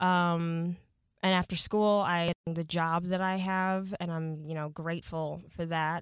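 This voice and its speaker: A woman speaks at a fairly slow pace in an ordinary speaking voice, at a medium pitch. The recording is very clean, with a silent background. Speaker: traffic and weather reporter and pet sitter. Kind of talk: casual chat.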